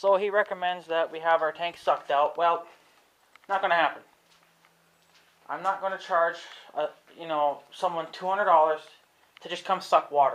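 A man speaks in a high voice at a moderate pace with fairly even intonation. His delivery has long, frequent pauses. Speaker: homeowner vlogger. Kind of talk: casual vlog chat. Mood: annoyed, complaining. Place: garage. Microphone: phone near.

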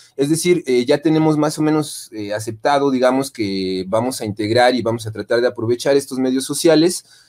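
A man speaks at a moderate pace with ordinary pitch variation as faint music plays behind him. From Mexico. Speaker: university lecturer in design. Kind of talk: conference presentation. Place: home room.

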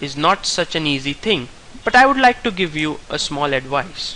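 Noticeable background noise sits behind a man speaking at a high pitch. His intonation is lively and his pace moderate. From India. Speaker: chess player. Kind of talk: tutorial.

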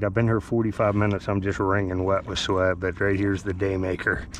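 This man talks at a fairly quick pace with a fairly low pitch and a plain, everyday voice. The sound is dry with no echo, over light background noise. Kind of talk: casual vlog commentary. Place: waterside. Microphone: phone near.

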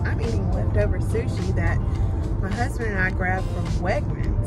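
A woman at a moderate pace, with loud music playing behind her. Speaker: stay-at-home mom vlogger. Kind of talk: casual vlog chat. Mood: cheerful, chatty. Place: car. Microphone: phone near.

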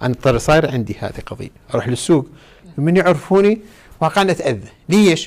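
A man with a Najaf accent, fairly high in pitch, with lively intonation at a fairly quick pace broken by long, frequent pauses. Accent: Iraqi Arabic, Najaf. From Iraq, Najaf; Iraq. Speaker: cleric. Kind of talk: religious lesson. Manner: animated. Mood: calm, conversational. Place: studio.

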